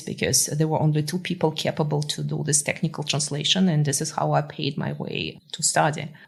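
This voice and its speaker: A woman talks at a fairly quick pace in a very deep, low voice with vocal fry. She leaves hardly any pauses. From Russia (Moscow). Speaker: tech founder and CEO. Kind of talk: podcast interview. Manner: many filler words (uh).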